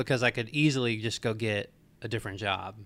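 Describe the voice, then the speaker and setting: This man has a plain, everyday voice with an American accent, medium pitch and ordinary pitch variation, recorded very cleanly against a silent background. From Marietta, Georgia (US South). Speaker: apparel brand founder. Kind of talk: interview.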